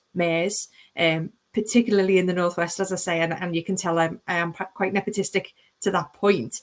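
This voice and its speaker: Fairly even intonation and a fairly quick pace mark this speaker with a Liverpool accent. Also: woman. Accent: Liverpool (Scouse). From Liverpool, England. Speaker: planning lawyer, panelist. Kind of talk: panel webinar discussion. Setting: online webinar.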